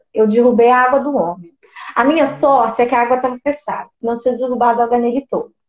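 A woman's high-pitched voice at a very fast pace. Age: 20s. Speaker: musical theatre actress and singer. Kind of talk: casual interview on a live stream.

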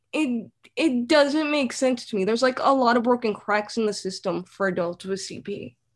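Using an ordinary speaking voice, a woman talks at a moderate pace with a fairly high pitch and ordinary pitch variation. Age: 20s. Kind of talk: casual interview.

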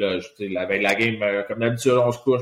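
A man speaks with a normal speaking voice. His intonation is fairly even. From Quebec, Laval. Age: 40s. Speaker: retired hockey player. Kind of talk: casual interview.

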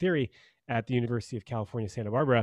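In a quiet background, a man speaks at a medium pitch with ordinary pitch variation and a dry, close sound with no echo. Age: 30s. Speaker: love coach. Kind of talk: casual chat.

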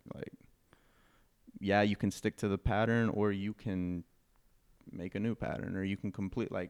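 At a fairly quick pace, a man with a plain, everyday voice speaks in a fairly low pitch with fairly even intonation. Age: 20s. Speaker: clothing designer. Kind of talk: casual chat. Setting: in the guest's studio.

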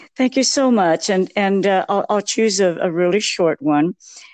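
In a dry, close recording with no echo, a woman speaks in a plain, everyday voice. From Texas. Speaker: poet and author. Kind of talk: interview, poem read aloud.

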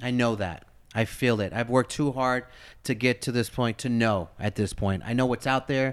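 A man with an American accent in an unremarkable speaking voice, medium in pitch, at a moderate pace. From US, Philadelphia and East Los Angeles. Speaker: radio host. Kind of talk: casual interview.

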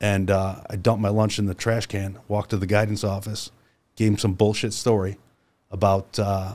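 Speech comes at a fairly quick clip in an American accent, flat and monotone throughout. The recording is very clean, with a silent background. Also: man. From Central New York. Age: 40s. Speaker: car dealer. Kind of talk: casual chat. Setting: studio.

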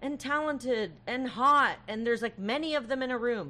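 A woman talks at a moderate pace with a high pitch. Her tone is bright and sharp. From Canada. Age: 40s. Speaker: comedian. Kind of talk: casual chat.

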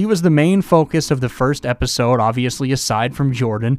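A man with an American accent and a plain, everyday voice, lively intonation and a moderate pace, on a very clean recording with a silent background. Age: 20s. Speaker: sports podcast host. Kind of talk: solo sports commentary podcast.

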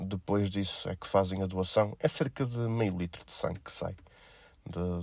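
Fairly even intonation marks a man speaking at a fairly low pitch. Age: 20s. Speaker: podcast host. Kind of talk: casual monologue. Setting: at blood donation site. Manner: hesitant with fillers.

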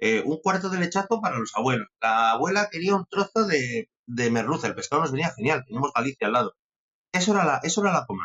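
A man's fairly high voice at a very fast pace, with very wide swings in pitch. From Spain, Castilla y León (Benavente). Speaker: sommelier. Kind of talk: interview.

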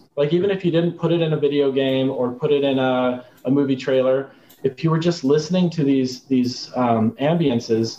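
This man has an unremarkable speaking voice at a fairly high pitch. His pitch variation is ordinary and his pace moderate. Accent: American. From Arizona, US. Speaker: composer and sound designer. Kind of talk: casual interview.

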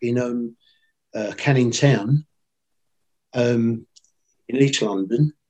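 A man speaks at a medium pitch with a dark, mellow tone and fairly even intonation. The sound is dry and close with no echo. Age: 60s. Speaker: electrical industry veteran and trainer. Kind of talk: casual interview. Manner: rambling, repeats words.

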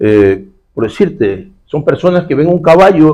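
A man speaks at a fairly slow pace. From Ecuador, Guayaquil. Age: 60s. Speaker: security expert and former public official. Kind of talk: casual interview.

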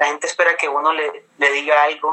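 At a fairly quick pace, a man talks with a fairly high pitch and monotone, flat intonation. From Colombia, Caribbean coast (Cartagena), mother from Bogotá region. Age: 20s. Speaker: pastor's son and church youth leader. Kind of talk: casual interview.

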